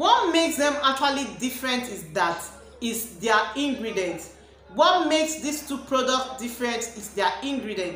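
A woman with a high voice speaks at a fairly slow pace, with audible room echo and light background noise. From Nigeria. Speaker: beauty product reviewer and cosmetics seller; beauty product reviewer, cosmetics seller. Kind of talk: product review vlog. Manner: animated. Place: home room. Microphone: phone near.

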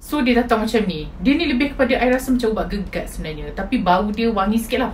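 Against light background noise, a woman talks at a very fast pace. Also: ordinary pitch variation. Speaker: haul vlogger. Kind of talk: casual vlog chat. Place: home room. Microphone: phone near.

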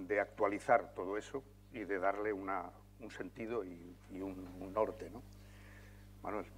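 At a fairly slow pace, a man talks in a fairly low pitch with vocal fry and a flat, monotone intonation. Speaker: journalist, panel moderator. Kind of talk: moderating a panel. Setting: conference hall with audience. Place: hall.

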